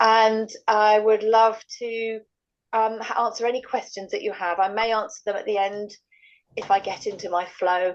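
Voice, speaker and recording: A woman with a British accent talks at a moderate pace in a fairly high pitch, her intonation monotone and flat. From England. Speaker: medical doctor presenting a health product. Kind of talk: online product presentation. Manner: halting, many fillers.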